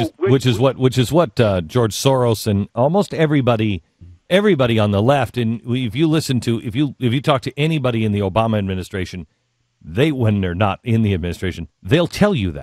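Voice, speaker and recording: A man with a plain, everyday voice talks at a medium pitch and a fairly quick pace, with lively intonation. The recording is very clean and dry, with a silent background and a close sound with no echo. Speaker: radio host. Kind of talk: radio interview, conversational.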